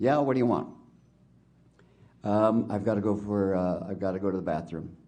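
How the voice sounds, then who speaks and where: Audible room echo surrounds a man whose dark, mellow tone sits at a fairly low pitch with ordinary pitch variation. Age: 70s. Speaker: witness at a public inquiry. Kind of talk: testimony. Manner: halting.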